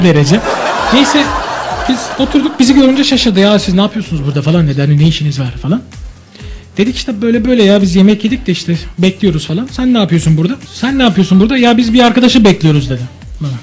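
Over music in the background, a man speaks very fast in a high-pitched voice. His pitch swings very widely. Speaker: radio DJ. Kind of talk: anecdote told on radio.

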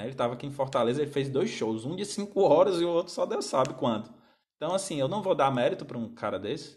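The voice is somewhat breathy, its intonation lively and its pace fairly quick. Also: man. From Brazil. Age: 30s. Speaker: music teacher. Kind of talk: live stream talk to viewers. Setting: Instagram live stream. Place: home room. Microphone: phone near.

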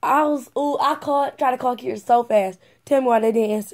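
A woman talks at a fast pace with fairly even intonation. Her tone is slightly mellow.

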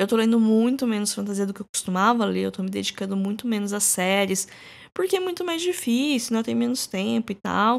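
Fairly quick speech from a woman with a Brazilian accent, medium in pitch, with ordinary pitch variation, on a very clean recording over a silent background. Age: 30s. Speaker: podcast host. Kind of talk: casual solo podcast monologue.

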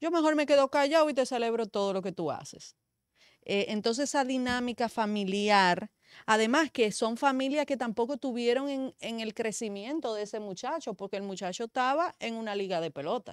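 The woman's fairly high voice moves at a moderate pace with lively intonation, the sound dry with no echo and the background quiet. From Dominican Republic, San Pedro de Macorís. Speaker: media commentator. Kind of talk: talk show discussion. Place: studio. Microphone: studio mic.

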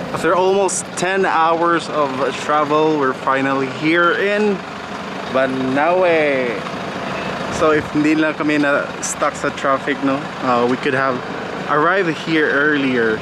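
The speech comes at a fairly slow pace with long, frequent pauses and ordinary pitch variation, dry with no echo, against noticeable background noise. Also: man. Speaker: travel vlogger. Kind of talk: casual vlog chat. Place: street. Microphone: phone near.

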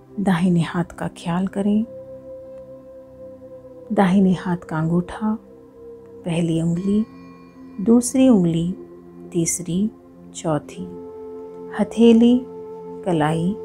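A woman with long, frequent pauses, music in the background. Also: medium pitch for a woman, ordinary pitch variation. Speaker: yoga teacher. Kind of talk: guided meditation. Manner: slow, soft-spoken.

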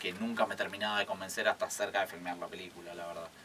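A man talks fairly quickly with light noise in the background. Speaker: guest. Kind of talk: interview answer. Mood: relaxed, reflective, some laughter. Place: studio. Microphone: studio mic.

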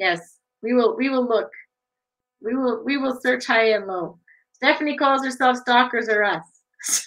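Fairly slow speech from a woman, high in pitch with ordinary pitch variation, against a quiet background. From Sault Ste. Marie area, Ontario, Canada. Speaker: online show host. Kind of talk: casual interview chat. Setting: video livestream. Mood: warm, friendly, smiling. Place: home room. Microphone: webcam.

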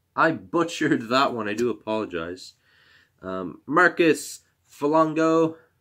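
A man speaks in a fairly high voice with very wide pitch swings. The background is quiet. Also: fairly slow pace. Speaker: YouTuber opening hockey card packs. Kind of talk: casual card-opening video. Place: home room. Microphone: webcam.

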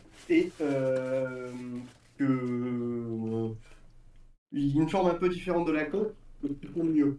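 Very slow, dark and mellow speech from a man at a fairly high pitch, with ordinary pitch variation, long and frequent pauses, and audible room echo. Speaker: RC hobbyist; RC hobby streamer. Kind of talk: casual chat. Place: workshop.

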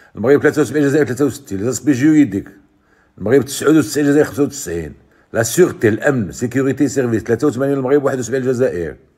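A man with a dark, mellow tone and vocal fry speaks at a moderate pace with ordinary pitch variation over a quiet background. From Morocco. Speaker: YouTube sports commentator. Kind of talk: video commentary. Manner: animated.

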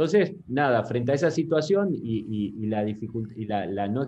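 Lively intonation and a dark, mellow tone mark this man's fairly slow delivery. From Argentina, Concordia, Entre Ríos. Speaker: software company CEO. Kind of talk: interview. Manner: halting, many repetitions and fillers. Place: home room. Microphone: video call.

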